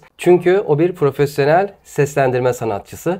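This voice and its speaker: Here a man has a plain, everyday voice, fairly high in pitch, with ordinary pitch variation. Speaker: YouTube interviewer host. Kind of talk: casual interview talk.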